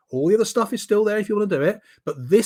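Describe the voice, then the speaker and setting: A man's animated voice with very wide pitch swings, in a very clean recording with a silent background. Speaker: presentation skills trainer. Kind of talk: training talk.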